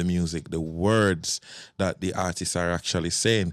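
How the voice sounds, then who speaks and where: In a Jamaican accent, a man with a very deep, low pitch speaks at a fairly slow pace. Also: very clean recording, silent background. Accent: Jamaican English with patois. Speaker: soca event promoter and DJ. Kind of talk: casual podcast conversation.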